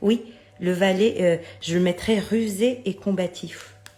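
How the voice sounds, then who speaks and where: Over music in the background, a woman speaks at a medium pitch with ordinary pitch variation. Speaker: tarot and oracle card YouTuber. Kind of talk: casual card review monologue. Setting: home video late at night. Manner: hesitant, many fillers.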